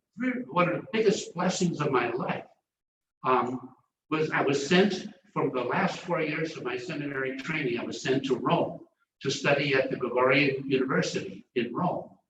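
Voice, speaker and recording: Audible room echo surrounds a man speaking with an American accent at a moderate pace. His pitch is fairly high, and his intonation is lively. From US Midwest, southwest side of Chicago. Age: 80s+. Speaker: professor emeritus of theology. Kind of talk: lecture. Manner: halting, repeats words.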